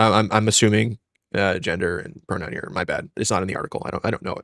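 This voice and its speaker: A man mumbles at a medium pitch. The sound is dry and close with no echo, in a very clean recording with a silent background. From New York, Westchester. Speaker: comics podcast co-host. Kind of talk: casual podcast discussion. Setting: live stream. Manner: mumbling.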